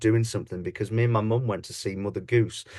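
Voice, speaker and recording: Against a quiet background, a man with an East Midlands accent speaks at a medium pitch. His voice is somewhat breathy. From English Midlands, Leicester. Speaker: pantomime dame and comedian. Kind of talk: podcast interview.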